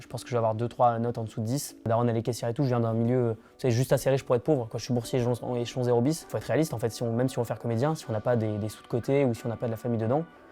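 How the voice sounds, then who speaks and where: A man at a very fast pace, monotone and flat, with hardly any pauses and music in the background. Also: medium pitch for a man. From Lorraine, France (countryside). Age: 20s. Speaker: engineering student and stand-up comedian. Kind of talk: interview. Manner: casual, many filler hesitations.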